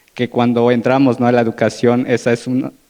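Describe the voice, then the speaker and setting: A man with an Oaxacan accent speaks at medium pitch and a moderate pace. His tone is dark and mellow against a quiet background. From Oaxaca, Mexico (Zapotec community). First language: Zapotec (speaking Spanish). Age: young. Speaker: panelist, international relations graduate. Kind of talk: panel discussion talk. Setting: live-streamed panel event.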